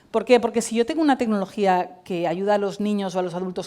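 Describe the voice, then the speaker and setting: Talking at a fairly quick pace, a woman has an unremarkable speaking voice and ordinary pitch variation. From Spain, Valencia. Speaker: tech company CEO and cofounder. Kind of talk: conference talk.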